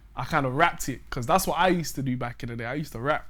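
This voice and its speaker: With a London accent, a man speaks at a medium pitch and a fairly even intonation. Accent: London Multicultural English. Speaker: musician. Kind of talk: casual interview chat.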